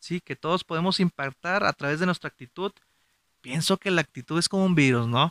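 Speaking fairly quickly in a northern Mexican accent, a man with a high voice and ordinary pitch variation sounds dry and close with no echo on a very clean recording with a silent background. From Mexico, Gómez Palacio, Durango (Comarca Lagunera). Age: 30s. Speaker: podcast host. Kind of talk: motivational monologue.

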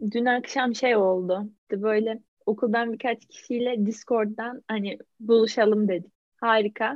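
Her voice is fairly high. The woman speaks fairly slowly in a flat monotone. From Turkey, İzmir. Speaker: podcast co-host. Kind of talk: casual chat.

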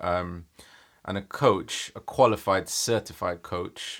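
Very deep and low, a man's voice comes through in a London accent. He speaks at a very slow pace on a very clean recording with a silent background. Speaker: life coach. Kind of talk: interview, casual chat.

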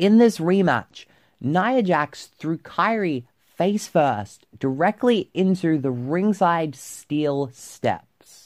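Very slow delivery with hardly any pauses, on a very clean recording against a silent background. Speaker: podcast host. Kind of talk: casual solo podcast commentary. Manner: animated, laughs often.

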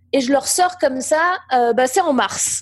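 The recording is very clean, with a silent background. A woman speaks at a very slow pace with lively intonation. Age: 40s. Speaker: entrepreneur and business coach. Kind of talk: interview conversation.

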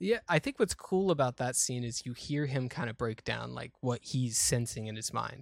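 The sound is dry and close with no echo as a man in a plain, everyday voice talks at a moderate pace and medium pitch, with ordinary pitch variation and hardly any pauses. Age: 20s. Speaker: podcast co-host. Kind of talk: casual chat.

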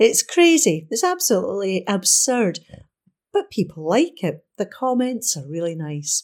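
The speaker is a woman. Her pace is fairly slow. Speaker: volunteer newspaper reader. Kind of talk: reading aloud. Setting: studio.

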